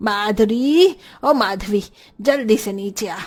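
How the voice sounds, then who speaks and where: A put-on character voice, shouting at a fairly high pitch. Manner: angry, shouting.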